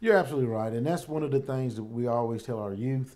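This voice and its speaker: A man with a Southern US accent, a dark, mellow tone, medium pitch and ordinary pitch variation. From US South, Alabama (Tuscaloosa). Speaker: sheriff. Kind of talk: interview.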